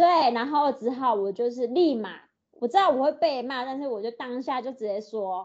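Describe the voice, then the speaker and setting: A woman talks with a high pitch at a moderate pace. Her loudness swings widely. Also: ordinary pitch variation. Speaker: podcast co-host. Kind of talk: casual chat. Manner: animated.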